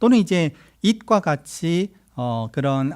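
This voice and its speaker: In a very clean recording with a silent background and a dry, close sound with no echo, a man's fairly high voice moves through very wide pitch swings. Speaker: software engineer giving a conference talk. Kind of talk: tech talk presentation. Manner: fast.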